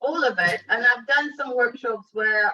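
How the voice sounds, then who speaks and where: A woman with a slight non-native accent speaks in a fairly high voice. Her pitch varies in an ordinary way. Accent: slight foreign. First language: not English. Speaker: workshop participant. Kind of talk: casual group discussion.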